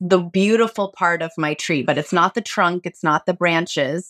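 The woman has an ordinary speaking voice, fairly low in pitch, with fairly even intonation. The sound is dry and close with no echo, and the recording is very clean over a silent background. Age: 40s. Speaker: actor and organic gardener. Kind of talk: casual chat.

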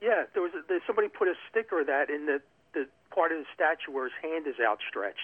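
The pace is very fast. The speaker has a Philadelphia accent. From South Philadelphia. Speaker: caller. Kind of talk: phone call chat.

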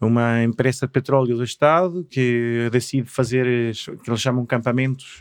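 With fairly even intonation, a man's voice holds a medium pitch. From Chile, Patagonia (Punta Arenas area). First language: Spanish (speaking Portuguese). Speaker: artist and craftsman. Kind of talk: casual interview chat. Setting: studio.

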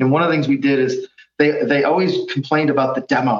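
A man with a fairly high voice talks at a very fast pace. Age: 50s. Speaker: innovation consultant. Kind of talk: interview. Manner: halting.

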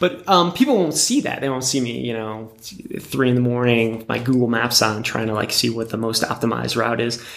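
There is noticeable background noise as a man with an American accent talks at a fairly quick pace and a medium pitch. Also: ordinary pitch variation. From US Northeast, Connecticut (Wethersfield). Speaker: ultra-endurance adventurer and artist. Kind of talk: casual interview conversation. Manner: halting, many fillers and repetitions.

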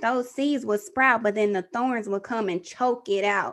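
With an American accent, a woman speaks at a moderate pace in an animated tone, her fairly high pitch showing ordinary variation. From Texas. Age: 30s. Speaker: podcaster and mother. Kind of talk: interview testimony.

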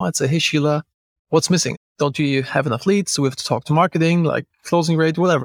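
Recorded dry and close with no echo, a man talks at a fairly quick pace in an unremarkable speaking voice. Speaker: podcast host. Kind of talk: casual interview.

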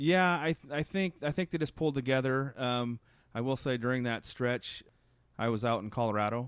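A man with an American accent speaks at a medium pitch. His pace is moderate, with ordinary pitch variation. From US Midwest, south central Nebraska. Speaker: grocery store owner. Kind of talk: interview.

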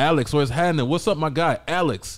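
A man speaks at a fairly quick pace with an animated tone and a fairly high pitch. The recording is very clean against a silent background. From US South, Georgia. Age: 40s. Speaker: MMA podcast co-host. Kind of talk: casual chat.

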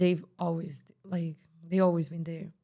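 With a Spanish accent, a woman speaks in a fairly low voice. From Spain, Barcelona. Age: 20s. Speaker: singer. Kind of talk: casual interview. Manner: calm; soft-spoken.

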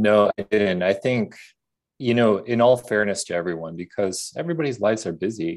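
Fairly quick, fairly low-pitched male speech with ordinary pitch variation. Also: very clean recording, silent background. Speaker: grief educator and meditation creator. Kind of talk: casual interview.

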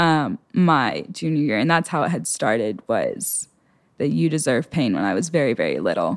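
A woman speaks at a very deep, low pitch with vocal fry and very wide pitch swings. Her loudness stays very even on a very clean recording with a silent background. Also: moderate pace. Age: under 20s (19). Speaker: young woman sharing faith testimony. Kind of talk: testimony. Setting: studio interview.

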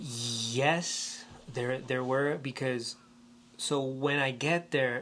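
This man speaks with a Spanish accent. His pitch sits in the medium range. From Puerto Rico. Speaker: theater movement teacher. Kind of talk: interview.

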